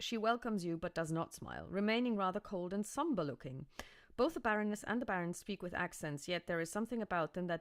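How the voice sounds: This is a natural reading voice. It shows ordinary pitch variation.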